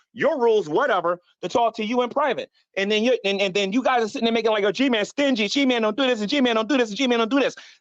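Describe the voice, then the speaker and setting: A man shouts loudly at a high pitch. He speaks at a very fast pace. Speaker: YouTube streamer. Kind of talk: heated rant on live stream. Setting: live stream. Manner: loud, yelling; repetitive, stammering.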